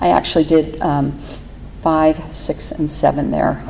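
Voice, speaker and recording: The speaker has an American accent. Noticeable background noise runs under the voice. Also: woman. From Pittsburgh, Pennsylvania. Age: 60s. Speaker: recovery meeting speaker. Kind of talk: testimony. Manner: halting, many fillers.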